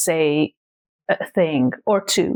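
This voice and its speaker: A woman speaks with a Hungarian accent. The recording is very clean, with a silent background. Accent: Hungarian accent, noticeable. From Hungary, small town. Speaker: content creator. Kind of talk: casual vlog talk.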